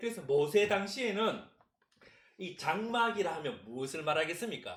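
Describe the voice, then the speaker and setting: A man with a Gyeongsang accent and a high pitch speaks at a moderate pace with lively intonation and audible room echo. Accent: Gyeongsang dialect, can't distinguish ㅅ and ㅆ. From Gyeongsang region, South Korea. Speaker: pastor. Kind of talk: sermon.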